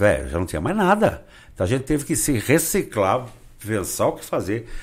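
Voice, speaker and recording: A man's voice shows vocal fry and very wide pitch swings at a moderate pace. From Brazil, Rio Claro (São Paulo state). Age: 60s. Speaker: social columnist and carnival designer. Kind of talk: casual interview.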